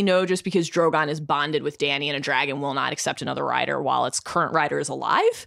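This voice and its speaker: A woman talks at a very fast pace. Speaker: sports media editor and podcaster. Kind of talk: casual banter.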